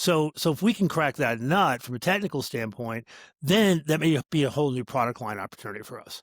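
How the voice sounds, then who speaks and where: On a very clean recording with a silent background and a dry, close sound with no echo, a man uses a normal speaking voice, fairly high in pitch and fairly quick, with lively intonation and big swings in loudness. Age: 60s. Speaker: startup CEO. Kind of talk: podcast interview. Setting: call.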